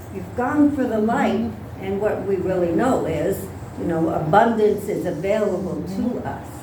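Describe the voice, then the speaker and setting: A woman speaks with lively intonation. Noticeable background noise and audible room echo fill the recording. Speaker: pastor. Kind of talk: sermon. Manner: halting.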